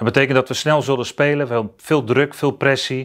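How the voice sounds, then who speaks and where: Ordinary pitch variation from a male speaker, set against a quiet background. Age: 50s. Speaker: basketball coach; basketball head coach. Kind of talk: introductory interview statement. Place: studio. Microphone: lapel.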